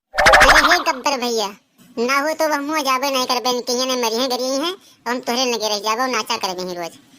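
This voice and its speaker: A woman puts on a cartoonish character voice at a high pitch. She talks at a fairly quick pace. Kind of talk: comic rustic overacting. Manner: fast, loud, bantering.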